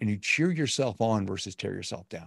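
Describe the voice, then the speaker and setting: The speech moves at a fairly quick pace. The sound is dry with no echo, and the background is quiet. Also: man. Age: 50s. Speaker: motivational speaker and coach; motivational speaker, coach. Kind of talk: casual interview. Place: home room.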